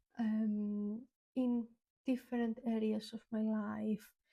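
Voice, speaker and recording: A woman with a non-native accent speaks at a very slow pace and a fairly high pitch. Her tone is dark and mellow, her intonation monotone and flat. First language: not English. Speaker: YouTuber. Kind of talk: reflective talk to camera. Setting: on camera. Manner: many filler ums.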